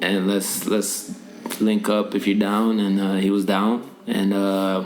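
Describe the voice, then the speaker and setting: Very slow, monotone, flat speech from a man with a fairly low pitch, very even loudness, audible room echo, and music in the background. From Norway. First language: Norwegian. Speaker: rapper and musician. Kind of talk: casual interview. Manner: halting, many fillers.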